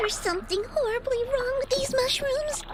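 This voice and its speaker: A put-on character voice, squeaky and extremely high in pitch, speaks at a moderate pace. Loud background noise runs underneath. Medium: video game. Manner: sarcastic, quick.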